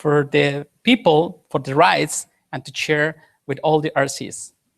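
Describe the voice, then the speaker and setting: Very slow and very deep, a woman's low-pitched voice comes with a Spanish accent. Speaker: conference presenter. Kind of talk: conference presentation. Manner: halting.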